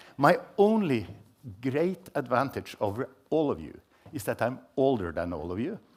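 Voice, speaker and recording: A man with a medium-pitched voice and vocal fry speaks at a moderate pace, his pitch swinging very widely, with long pauses coming often. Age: 70s. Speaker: scientist and report co-author. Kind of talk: panel talk.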